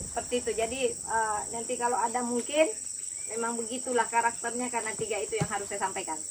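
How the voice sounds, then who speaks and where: Very fast talk from a woman, with fairly even intonation. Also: fairly high pitch for a woman. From Central Java (Solo). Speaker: agricultural official. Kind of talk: official speech. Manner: loud.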